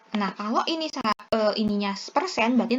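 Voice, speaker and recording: Noticeable background noise sits behind this woman's voice. She speaks at a fairly high pitch with lively intonation. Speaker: pharmacist tutor. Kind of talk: tutorial. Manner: halting; casual.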